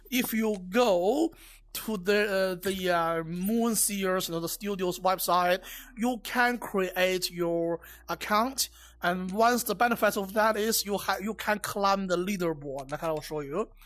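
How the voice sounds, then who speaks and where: The recording is very clean, with a silent background. Speech comes at a fairly slow pace with ordinary pitch variation. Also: woman, medium pitch for a woman. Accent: Chinese. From China. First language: Chinese. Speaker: VR game reviewer. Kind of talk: game review with gameplay demo. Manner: halting, many fillers and repeats.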